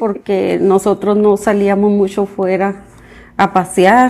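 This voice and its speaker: Speaking at a fairly slow pace with a Mexican accent, a woman uses a fairly high pitch and a dark, mellow tone. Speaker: mother of the host, parent of bilingual children. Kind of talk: interview conversation in Spanish. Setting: home.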